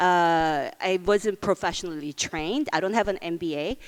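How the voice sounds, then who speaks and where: Speaking at a moderate pace with a non-native accent, a woman is heard on a very clean recording with a silent background. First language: not English. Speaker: beauty company founder. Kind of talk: onstage interview.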